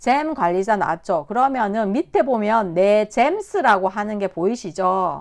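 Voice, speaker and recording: Speaking at a fairly slow pace, a woman barely pauses. She has a medium pitch and an unremarkable speaking voice. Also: lively intonation. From Korea, Busan. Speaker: instructor. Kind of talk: tutorial.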